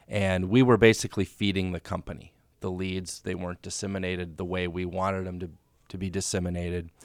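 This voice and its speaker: A man with a very deep, low pitch speaks very fast in a flat monotone. His loudness swings widely. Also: very clean recording, silent background. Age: 30s. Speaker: real estate agent. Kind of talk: casual chat.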